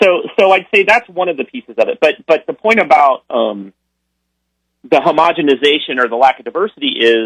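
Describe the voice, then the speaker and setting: Speaking at a fairly quick pace, a man with an American accent and a fairly high pitch makes very wide pitch swings. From US Midwest. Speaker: author and AI specialist. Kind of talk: interview. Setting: recorded interview clip.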